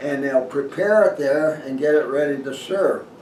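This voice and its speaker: Noticeable background noise and audible room echo surround a man whose fairly high voice moves at a moderate pace with ordinary pitch variation. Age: 80s+. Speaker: retired dentist and outdoor writer. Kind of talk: casual talk to camera. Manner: halting.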